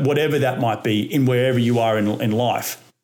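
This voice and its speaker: Speaking at a fairly quick pace, a man talks with an Australian accent. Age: 30s. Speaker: real estate investor. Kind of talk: podcast interview.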